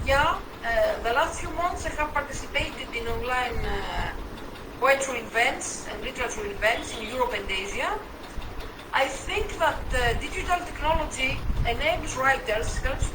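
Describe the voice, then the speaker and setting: A woman's high voice in a Greek accent at a moderate pace, with very wide pitch swings, noticeable background noise and audible room echo. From Greece. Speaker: poet and writer. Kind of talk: interview. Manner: hesitant, with fillers.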